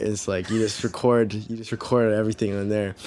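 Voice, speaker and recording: A man with a Californian accent speaks in a fairly low pitch with monotone, flat intonation. The recording is very clean, with a silent background. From Southern California, Orange County. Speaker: musician. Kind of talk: casual chat.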